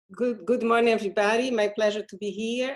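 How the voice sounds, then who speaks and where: A woman speaks in a Portuguese accent, her fairly high voice keeping a fairly even intonation. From Brazil. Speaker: physician, public health advisor. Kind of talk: panel introduction. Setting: video call.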